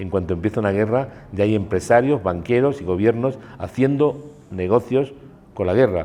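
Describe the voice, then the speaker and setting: A man speaks with a fairly low voice and a dark, mellow tone. His pace is moderate, and his pitch variation is ordinary. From Spain. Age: 60s. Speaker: war photographer. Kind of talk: interview. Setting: cultural centre.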